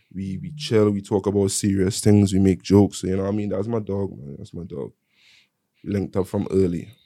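A dark, mellow tone at a fairly quick pace. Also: man, fairly low pitch for a man, ordinary pitch variation. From London, UK, with Caribbean ties. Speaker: musician. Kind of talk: casual chat.

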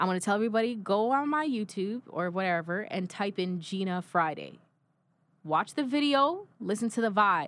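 At a medium pitch and moderate pace, a woman speaks in an animated tone with lively intonation. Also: very clean recording, silent background. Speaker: singer.

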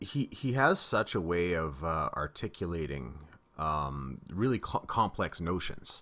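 A man with a very deep, low voice and vocal fry talks at a fairly slow pace with very wide pitch swings. His tone is bright and sharp on a very clean recording with a silent background. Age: 30s. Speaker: podcast host. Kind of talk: casual interview.

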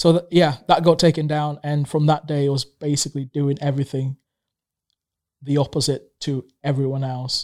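Someone with an East African accent speaks at a moderate pace in a monotone, flat intonation. The sound is dry and close with no echo, in a very clean recording with a silent background. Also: man, fairly high pitch for a man. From Tanzania. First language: Swahili. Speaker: small business owner. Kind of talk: casual chat. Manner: halting, many fillers.

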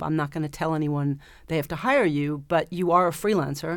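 With an American accent, a woman speaks at a very deep, low pitch with fairly even intonation on a very clean recording with a silent background. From New York, Staten Island. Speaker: former film production assistant. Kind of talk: interview. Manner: halting.

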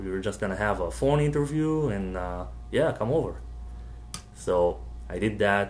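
A man's voice is heard with audible room echo. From Israel. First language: Hebrew. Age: 20s. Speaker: comic book art student. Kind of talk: casual interview.

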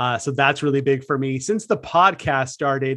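An unremarkable speaking voice with an American accent and fairly even intonation. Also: man. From California, San Francisco Bay Area. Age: 30s. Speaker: horror podcast host. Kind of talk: casual chat.

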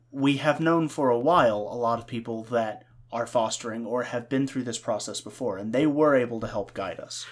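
On a very clean recording with a silent background, a man talks at a moderate pace in a normal speaking voice, medium in pitch with ordinary pitch variation. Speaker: podcast co-host and producer. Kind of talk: casual chat. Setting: home recording setup.

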